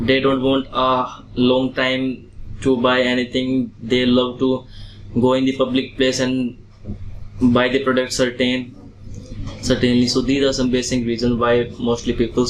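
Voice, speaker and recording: With monotone, flat intonation and very even loudness, a man talks at a fairly slow pace and a medium pitch. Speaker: IELTS test candidate. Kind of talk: exam interview answers.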